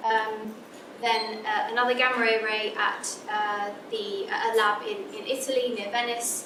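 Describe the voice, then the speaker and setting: There is audible room echo around a woman speaking at a fairly high pitch. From England. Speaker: physicist. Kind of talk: lecture. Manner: halting.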